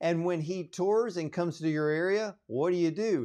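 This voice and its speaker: A man with a plain, everyday voice and lively intonation, against a quiet background. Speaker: radio show host. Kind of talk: interviewer, radio host.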